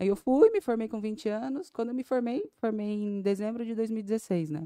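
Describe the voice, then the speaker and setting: A woman's dark, mellow tone comes through at a moderate pace, with a dry, close sound, no echo, and a quiet background. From Brazil, São Paulo state (Vale do Ribeira). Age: 20s. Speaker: dentist and clinic owner. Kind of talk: casual interview.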